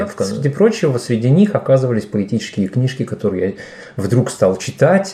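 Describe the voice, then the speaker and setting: Amid noticeable background noise, a man of medium pitch speaks with very wide pitch swings. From Uzbekistan, Fergana. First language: Tajik, now native Russian (speaking Russian). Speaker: poet and DJ. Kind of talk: podcast interview. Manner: hesitant, filler-heavy.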